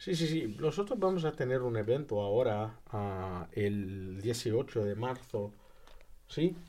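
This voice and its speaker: A man speaks at a very slow pace with lively intonation. His tone is dark and mellow. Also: medium pitch for a man. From Brazil. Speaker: graduate student and commission member. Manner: halting.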